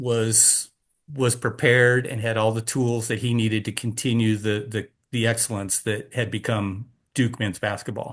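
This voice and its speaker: A man's flat, monotone voice at a medium pitch and moderate pace, against a quiet background. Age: 60s. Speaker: race director. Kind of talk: casual chat. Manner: halting, with many repeated words.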